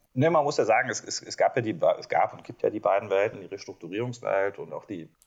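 A man speaks at a fairly quick pace. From Rhineland, Germany. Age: 40s. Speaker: management consultant. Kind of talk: interview.

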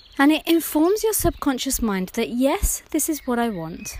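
A woman with a British accent and very wide pitch swings. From UK. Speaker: therapist and podcast host. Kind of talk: podcast monologue.

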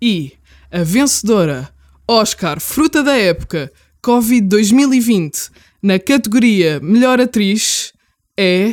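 Very slow speech from a woman at a fairly high pitch, with lively intonation, in a dry, close sound with no echo. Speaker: podcast co-host. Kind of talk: mock awards ceremony presenting.

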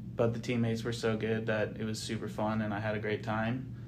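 A man with an American accent at a very fast pace, with audible room echo. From US Pacific Northwest, Edgewood, Washington. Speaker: amateur golfer, club champion. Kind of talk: casual interview.

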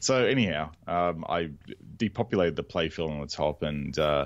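A man talks in a very deep, low pitch with an Australian accent. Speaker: podcast co-host, pinball restorer. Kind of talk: casual chat.

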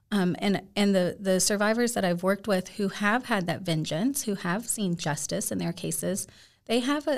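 A woman's medium-pitched voice with vocal fry and lively intonation at a moderate pace, on a very clean recording with a silent background. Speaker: author, speaker, abolitionist. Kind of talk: casual interview conversation. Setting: studio.

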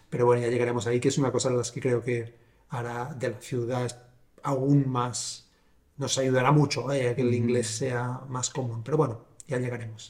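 A man talks at a medium pitch with monotone, flat intonation. His voice is somewhat breathy. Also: moderate pace. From Catalonia, Sabadell. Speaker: podcast host. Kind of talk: casual interview.

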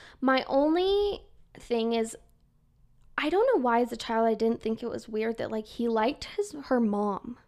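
A woman with a Utah accent talks at a fairly high pitch with lively intonation. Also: moderate pace. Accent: Utah, in how she says her G's. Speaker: podcast co-host, student. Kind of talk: casual chat.

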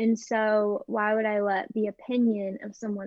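Someone speaks at a fairly slow pace in a normal speaking voice with an American accent. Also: woman. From Texas, Dallas. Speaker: college student and online shop owner. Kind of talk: casual interview.

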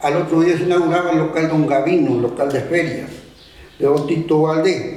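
A man with a Uruguayan accent talks at a moderate pace and fairly high pitch, with fairly even intonation and very even loudness. Noticeable background noise and audible room echo are present. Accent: rural Uruguayan Spanish. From Uruguay, rural Tacuarembó. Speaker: rural horseman and local historian. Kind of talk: oral history testimony. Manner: halting.

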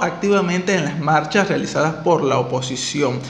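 The speech has lively intonation in a Venezuelan accent. Noticeable background noise and audible room echo surround it. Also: man. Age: 20s. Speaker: podcast host. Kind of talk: interview.

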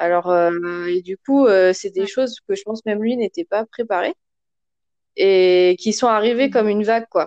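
A woman speaks at a moderate pace with fairly high pitch and ordinary pitch variation. Her long, frequent pauses sit in a dry, close recording with no echo. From France. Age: 30s. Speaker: mother, podcast guest. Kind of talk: casual chat.

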